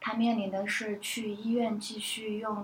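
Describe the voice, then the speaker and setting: Fairly high-pitched speech from a woman, with noticeable background noise. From Northeast China. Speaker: film buyer. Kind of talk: casual discussion podcast.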